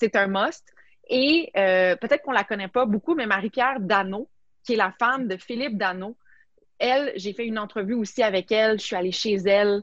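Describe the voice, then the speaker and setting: Recorded with a dry, close sound and no echo, a woman speaks at a fairly high pitch with ordinary pitch variation. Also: moderate pace. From Quebec, Montreal. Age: 30s. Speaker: sports journalist and TV host. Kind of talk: casual interview.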